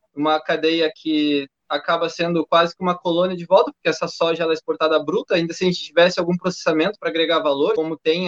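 A high-pitched man talks at a fairly quick pace in a dry, close sound with no echo. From Brazil, Rio Grande do Sul (Canela). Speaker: live stream host, public servant, council candidate. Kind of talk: panel discussion livestream. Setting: online live stream.

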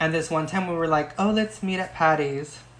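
A woman in an unremarkable speaking voice, fairly low in pitch, with an American accent, fairly even intonation and a moderate pace. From Oxnard, California. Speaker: podcast guest. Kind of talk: casual chat.

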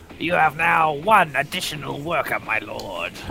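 Speaking at a moderate pace in a put-on character voice, a man with a fairly high pitch is heard over clear background noise. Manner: obedient, hollow undead voice.

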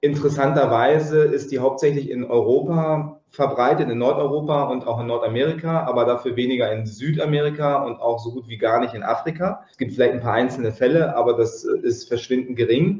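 Speaking with hardly any pauses over noticeable background noise, a man with a fairly high voice shows big swings in loudness and ordinary pitch variation. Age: 40s. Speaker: yoga teacher. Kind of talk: interview.

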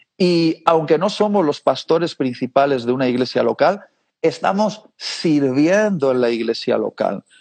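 This man has a plain, everyday voice at a fairly high pitch. He speaks fairly slowly with lively intonation. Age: 30s. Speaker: preacher. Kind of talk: interview.

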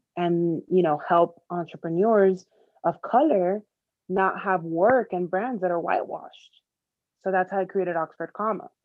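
With an American accent and a normal speaking voice, a woman of medium pitch talks at a moderate pace with ordinary pitch variation. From Miami, Florida. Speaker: advertising copywriter. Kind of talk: interview.

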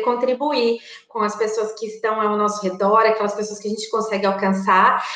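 A fairly high-pitched woman at a fairly quick pace in a monotone, flat delivery, with audible room echo and noticeable background noise. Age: 30s. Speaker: direct sales consultant. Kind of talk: webinar lecture. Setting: live stream.

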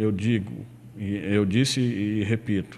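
A man's voice sits at a medium pitch and moves with ordinary pitch variation. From Ceará, Brazil (Irauçuba). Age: 50s. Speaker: former rural union leader and local politician. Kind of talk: radio interview. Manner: halting, with repetitions.

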